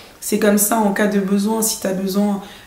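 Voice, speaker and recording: A woman's medium-pitched voice at a moderate pace, with audible room echo and noticeable background noise. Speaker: fashion designer and YouTuber. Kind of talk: casual advice vlog. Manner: hesitant with many fillers.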